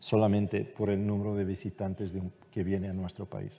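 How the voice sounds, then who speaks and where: Speaking with a Portuguese accent, a man has a dark, mellow tone. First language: Portuguese (speaking Spanish). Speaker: ambassador. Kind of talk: panel discussion.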